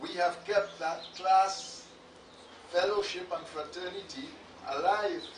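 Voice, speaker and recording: A man with a high pitch speaks at a very slow pace, with ordinary pitch variation and long, frequent pauses. Noticeable background noise and audible room echo fill the recording. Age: 80s+. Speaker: retired teacher giving eulogy. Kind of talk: eulogy. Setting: funeral service. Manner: formal.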